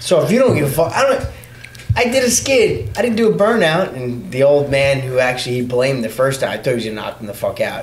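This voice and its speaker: Through noticeable background noise, a man speaks very fast with a New York accent. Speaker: motorcycle rider. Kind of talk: casual chat.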